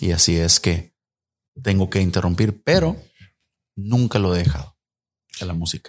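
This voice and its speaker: A man talks at a moderate pace in a very deep, low pitch. His long pauses come frequently. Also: ordinary pitch variation. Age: 40s. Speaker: musician and communications graduate. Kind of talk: casual interview.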